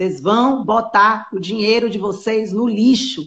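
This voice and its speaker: This woman's voice is fairly high-pitched. It sounds somewhat breathy. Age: 40s. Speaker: nutritionist. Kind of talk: casual chat. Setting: live stream.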